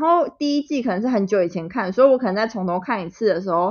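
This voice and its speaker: A woman's pitch swings very widely as she talks at a fairly quick clip. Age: 20s. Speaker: podcast co-host. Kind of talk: casual chat. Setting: remote recording.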